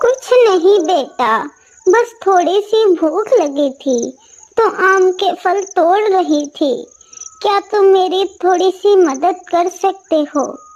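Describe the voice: In a cartoonish character voice at an extremely high pitch, the speaker talks at a fairly slow pace.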